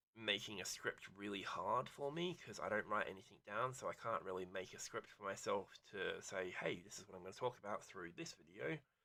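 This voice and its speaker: The voice is mumbling. It moves at a moderate pace. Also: man. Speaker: gaming streamer. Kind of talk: casual gameplay commentary. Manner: rambling with many ums and ahs.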